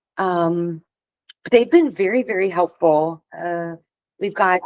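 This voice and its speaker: A Western Pennsylvania accent with ordinary pitch variation, in a dry, close sound with no echo. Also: woman. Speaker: elections director. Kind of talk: public board meeting report. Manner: hesitant, many fillers.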